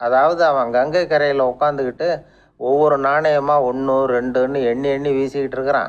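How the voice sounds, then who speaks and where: In a Tamil Nadu accent, a man with a fairly high pitch speaks with monotone, flat intonation and very even loudness. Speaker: radio personality. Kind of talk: radio storytelling talk. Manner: calm, humorous.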